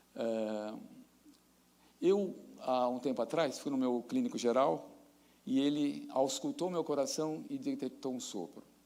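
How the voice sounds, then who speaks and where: A man talking at a fairly slow pace, with long, frequent pauses and audible room echo. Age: 60s. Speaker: professor. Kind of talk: lecture.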